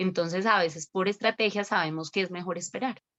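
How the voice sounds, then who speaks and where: At a moderate pace, a woman speaks in a bright, sharp tone, with a dry, close sound and no echo. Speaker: lawyer. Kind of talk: webinar talk.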